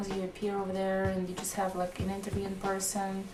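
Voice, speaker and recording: Talking at a very fast pace, a woman speaks at medium pitch in a monotone, flat intonation. There is noticeable background noise and audible room echo. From Russia, Volgograd. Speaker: Russian immigrant interviewee. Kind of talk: documentary interview.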